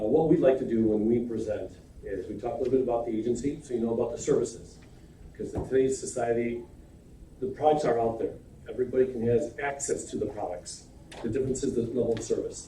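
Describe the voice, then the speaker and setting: A man talks at a very fast pace, with noticeable background noise and audible room echo. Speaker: insurance agency president. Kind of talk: sales pitch. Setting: county committee meeting.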